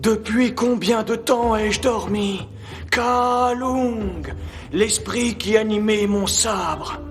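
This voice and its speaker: Over clear background noise, a man puts on a character voice. He talks at a very slow pace with a high pitch. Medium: fan dub.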